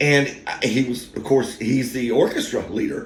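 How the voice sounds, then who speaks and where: There is audible room echo as a man speaks at a moderate pace in a somewhat breathy voice. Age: 50s. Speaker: YouTube storyteller. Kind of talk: casual monologue. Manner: halting.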